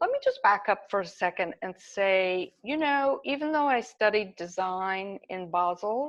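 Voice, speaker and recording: A woman with an American accent and a normal speaking voice talks fairly slowly at a medium pitch, using lively intonation and hardly any pauses. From US South, Kentucky. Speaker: artist. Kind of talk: interview.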